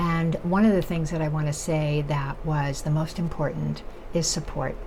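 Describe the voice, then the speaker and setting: A woman speaks with a very deep, low pitch at a moderate pace, her intonation fairly even. Noticeable background noise and audible room echo fill the recording. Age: 70s. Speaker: nutrition educator and chef. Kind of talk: vlog monologue. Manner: halting, many fillers.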